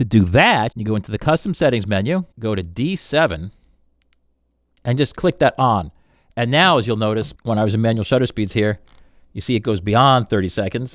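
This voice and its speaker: This man talks at a medium pitch and a fairly quick pace, in an animated tone. The recording is very clean, with a silent background. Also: lively intonation. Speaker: camera reviewer. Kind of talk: tutorial. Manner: fast.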